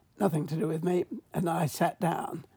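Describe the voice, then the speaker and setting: A woman with an English accent speaks at a moderate pace in a fairly low, somewhat breathy voice with a dark, mellow tone and fairly even intonation. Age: 80s+. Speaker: mushroom expert and author. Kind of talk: interview.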